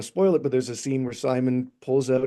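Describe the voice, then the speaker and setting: A man rattles along at a very fast pace in a dark, mellow tone, medium in pitch and monotone, flat in intonation. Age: 40s. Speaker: film director. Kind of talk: interview. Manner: halting.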